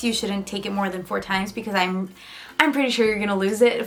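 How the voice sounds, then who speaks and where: Noticeable background noise behind a woman with ordinary pitch variation. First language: Spanish. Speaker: student vlogger. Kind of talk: casual vlog talk. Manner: casual, filler-heavy.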